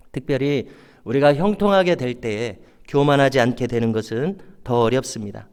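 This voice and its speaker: Speaking at a moderate pace, a man with a fairly high voice uses lively intonation. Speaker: pastor. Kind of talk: sermon.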